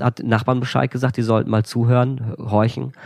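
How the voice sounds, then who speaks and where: Noticeable background noise accompanies a man talking at a fairly quick pace in a medium pitch. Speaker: author and former animal shelter manager. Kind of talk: casual storytelling interview. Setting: indoors by a wood stove. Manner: lively.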